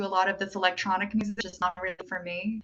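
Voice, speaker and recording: Noticeable background noise accompanies a woman speaking fairly quickly at a medium pitch. Her intonation is flat and monotone. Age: 30s. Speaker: independent musician. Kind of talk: casual interview chat.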